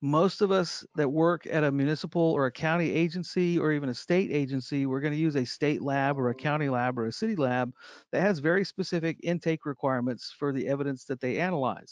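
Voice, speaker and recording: Against a quiet background, a man with a fairly high pitch talks at a fairly quick pace with hardly any pauses and ordinary pitch variation, the sound dry and close with no echo. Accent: American. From Texas. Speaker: evidence management trainer. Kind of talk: online training lecture. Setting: online video session. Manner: relaxed, jokey.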